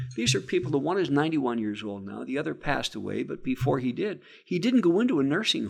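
A man speaks very fast with an American accent. His pitch swings very widely, and vocal fry runs through his voice. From Scranton, northeastern Pennsylvania. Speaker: state legislator and former radio broadcaster. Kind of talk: casual interview. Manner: halting, repetitive.

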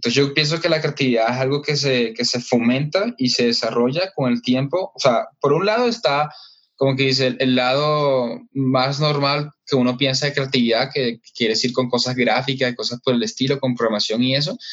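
Here is a man with a normal speaking voice at a medium pitch, keeping a moderate pace with hardly any pauses. His intonation is fairly even and his loudness very even. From Colombia, Caribbean coast (Barranquilla). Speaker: entrepreneur, systems engineer. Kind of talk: interview.

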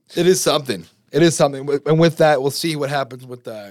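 On a very clean recording with a silent background, a man speaks at a fairly high pitch and a fairly quick pace. He has an unremarkable speaking voice with fairly even intonation. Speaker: podcast host, college student. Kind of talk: casual chat.

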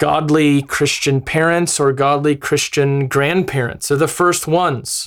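A man with an American accent talks at a fairly slow pace in a fairly high voice. The recording is very clean, with a silent background. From US Midwest, Wisconsin. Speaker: missionary. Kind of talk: podcast teaching.

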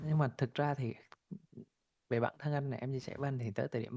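A man talks at a medium pitch in a somewhat breathy voice, his pitch varying in an ordinary way. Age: 30s. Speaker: crypto investor and entrepreneur. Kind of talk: interview storytelling.

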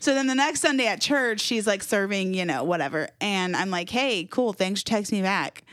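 With an American accent and a normal speaking voice, a woman at medium pitch speaks at a moderate pace with lively intonation and hardly any pauses, in a very clean recording with a silent background. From Jacksonville, Florida. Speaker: church communications director. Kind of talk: casual chat.

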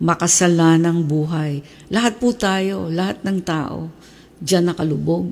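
A woman speaks at a very slow pace. Her pitch is fairly low, with ordinary pitch variation. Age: 70s. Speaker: pastor. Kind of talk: sermon.

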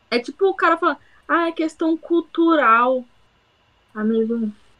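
A woman talks at a moderate pace in a bright, sharp tone, with very wide pitch swings. The sound is dry and close, with no echo. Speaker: university student, podcast co-host. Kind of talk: casual chat.

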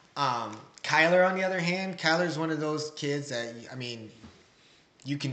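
Using a plain, everyday voice, a man with an American accent speaks at a fairly high pitch with ordinary pitch variation. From Waterloo, Iowa. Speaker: father, former wrestler, coach. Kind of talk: interview, casual chat.

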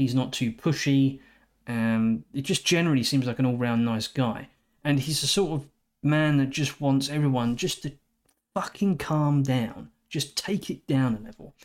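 The recording is very clean, with a silent background. A man with a plain, everyday voice talks at a moderate pace and a fairly high pitch, with ordinary pitch variation. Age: 40s. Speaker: movie reviewer. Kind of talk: solo movie review.

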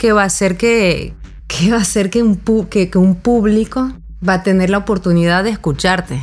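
This is a woman with a normal speaking voice. She talks at a moderate pace. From mixed European and Venezuelan heritage. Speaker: musician. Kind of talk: casual conversation.

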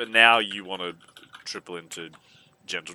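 Australian accent from a male speaker. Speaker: podcast guest. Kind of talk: casual chat.

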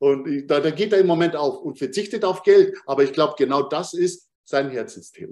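A man with a plain, everyday voice speaks at a fairly high pitch and a moderate pace. He shows ordinary pitch variation and hardly pauses. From Bavaria, Munich. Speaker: human design coach. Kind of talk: interview conversation.

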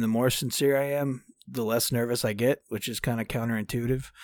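A man with a Texan accent, fairly even intonation, and a very clean recording over a silent background. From Texas, Dallas. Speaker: country singer-songwriter. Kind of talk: interview.

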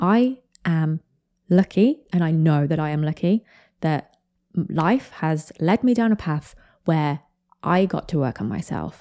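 A woman with a British accent speaks in a dark, mellow tone at fairly low pitch with lively intonation, a fairly slow pace and long, frequent pauses, on a very clean recording with a silent background and a dry, close sound with no echo. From Britain. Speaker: podcast host summarising other podcasts. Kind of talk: solo commentary podcast. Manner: casual, conversational.

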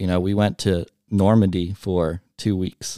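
A man's very deep, low voice with a dark, mellow tone, fairly even intonation and a Midwestern American accent, dry and close with no echo in a very clean recording with a silent background. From US Midwest, Cincinnati area, Ohio. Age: 20s. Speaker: high school alumni director. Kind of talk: casual interview. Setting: studio.

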